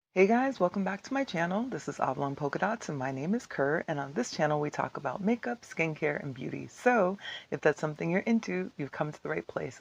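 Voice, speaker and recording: A woman's put-on character voice, hoarse and raspy, fairly low in pitch, with very wide pitch swings, a fairly quick pace and hardly any pauses, in a dry, close sound with no echo against a quiet background. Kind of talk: casual vlogger.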